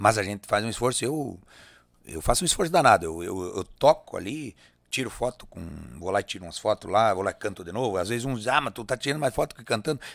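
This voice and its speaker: A man talks at a very fast pace with lively intonation and big swings in loudness. The sound is dry with no echo, over a quiet background. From Rio Grande do Sul, Brazil. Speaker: singer and accordionist; guest. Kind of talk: casual interview. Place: studio. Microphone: studio mic.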